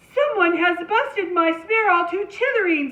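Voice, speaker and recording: Using a put-on character voice at an extremely high pitch, a woman speaks at a moderate pace. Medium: read story.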